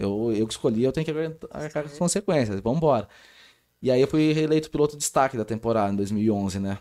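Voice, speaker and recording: This man has a dark, mellow tone at a medium pitch, speaking at a fairly quick pace with lively intonation. The recording is very clean, with a silent background. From Brazil, Rio Claro (São Paulo state). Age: 30s. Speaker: sports official, wheelchair athlete. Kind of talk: casual interview. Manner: animated.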